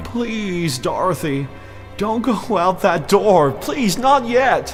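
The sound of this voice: Over faint background music, a man does a put-on character voice, pitched high with big swings in pitch. He talks at a slow pace.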